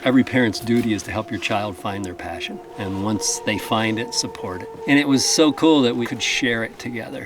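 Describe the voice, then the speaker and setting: Music plays behind a man who talks at a fairly quick pace. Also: hardly any pauses. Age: 60s. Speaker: amateur climber, father. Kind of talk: documentary interview.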